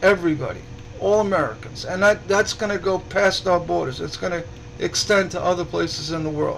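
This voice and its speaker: Noticeable background noise is present. Over it, a man speaks fairly quickly. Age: 60s. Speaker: stained glass artist and group admin. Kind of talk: casual livestream talk. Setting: live broadcast. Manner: halting, many repetitions.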